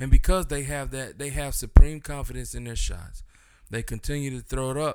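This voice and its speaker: A man's plain, everyday voice at medium pitch, fairly quick and fairly even in intonation, with big swings in loudness. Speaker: podcast co-host. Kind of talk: casual chat.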